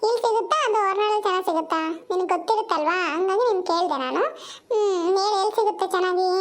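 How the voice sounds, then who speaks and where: In a cartoonish character voice, a woman speaks at an extremely high pitch and a moderate pace. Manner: chatty, mixes English into Kannada.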